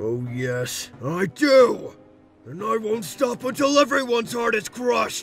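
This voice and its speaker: A man uses a put-on character voice, high for a man, at a fairly slow pace. Faint music plays in the background. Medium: dub.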